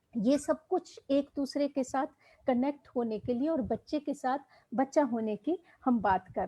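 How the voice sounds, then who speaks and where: A woman's high-pitched voice, dark and mellow in tone, with ordinary pitch variation and a dry, close sound free of echo. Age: 60s. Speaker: education professor. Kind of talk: lecture. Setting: online live session.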